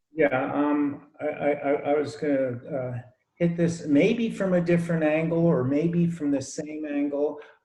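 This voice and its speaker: A man speaks at a fairly slow pace and a fairly high pitch, with fairly even intonation. Audible room echo surrounds his voice. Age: 60s. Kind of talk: group discussion. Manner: halting, repeats words.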